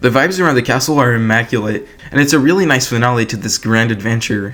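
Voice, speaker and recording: Over music in the background, a man talks at a very fast pace and a medium pitch. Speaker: video game commentator. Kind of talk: casual video essay commentary.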